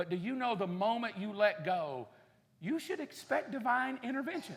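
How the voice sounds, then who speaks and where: With an American accent, a man speaks at a moderate pace in a high pitch, his intonation lively. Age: 50s. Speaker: pastor. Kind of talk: sermon. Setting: church. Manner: animated.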